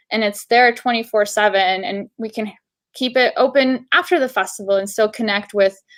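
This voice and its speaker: A woman with a fairly high pitch and ordinary pitch variation talks at a moderate speed in an ordinary speaking voice. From Bulgaria, moved to US at 8. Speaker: festival director, Q&A moderator. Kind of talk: virtual panel Q&A moderation.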